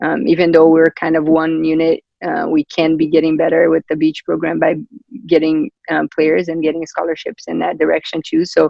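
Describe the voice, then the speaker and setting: A man with a Brazilian accent speaks at a fairly quick pace. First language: Portuguese. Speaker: volleyball coach. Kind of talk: interview. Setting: video call. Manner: halting.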